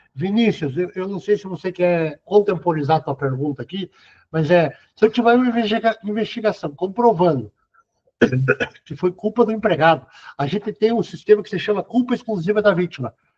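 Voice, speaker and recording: Recorded dry and close with no echo, a man with a high pitch talks at a fairly quick pace with lively intonation and big swings in loudness. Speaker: lecturer on workplace accidents. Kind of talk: lecture Q&A. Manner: fast.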